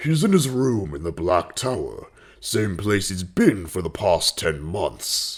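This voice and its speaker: A fairly slow, fairly low-pitched put-on character voice from a man. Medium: audio drama. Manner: smooth, self-assured.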